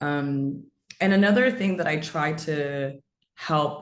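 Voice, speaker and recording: In a room with audible echo, a woman with an American accent speaks at a very deep, low pitch. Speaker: storyteller and marketing strategist. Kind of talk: webinar talk.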